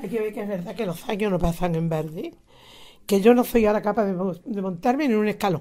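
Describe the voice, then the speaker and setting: A woman rattles along at a very fast pace in a medium-pitched voice with a dark, mellow tone. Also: ordinary pitch variation. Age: 80s+. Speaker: retired teacher, nativity scene association president. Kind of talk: interview. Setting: at her home.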